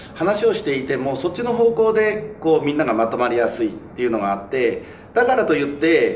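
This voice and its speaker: Pitch swings very widely as a man speaks. Audible room echo and light background noise fill the recording. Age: 40s. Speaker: city councillor. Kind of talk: panel discussion. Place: studio.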